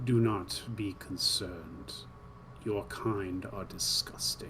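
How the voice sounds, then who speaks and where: A man does a put-on character voice, croaky and guttural, at a fairly low pitch and a very slow pace. Background noise is clearly audible. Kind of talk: formal, stilted. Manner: menacing, contemptuous.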